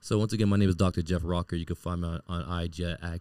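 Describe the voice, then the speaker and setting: In a very deep, low voice with a dark, mellow tone, a man speaks in a flat monotone at a fairly quick pace, the sound dry and close with no echo on a very clean recording with a silent background. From Miami, Haitian parents. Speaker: therapist. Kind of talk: casual interview.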